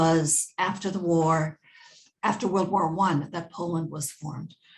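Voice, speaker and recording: Speaking at a moderate pace with an American accent, a woman uses a fairly low, somewhat breathy voice and fairly even intonation. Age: 70s. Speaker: family history interviewee. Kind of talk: oral history interview.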